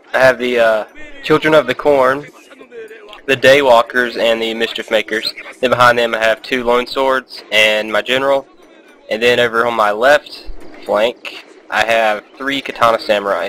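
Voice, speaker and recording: A man talks at a medium pitch in a monotone, flat intonation, with noticeable background noise behind him. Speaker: gaming commentator. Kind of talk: gameplay commentary. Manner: fast; casual, hesitant with fillers.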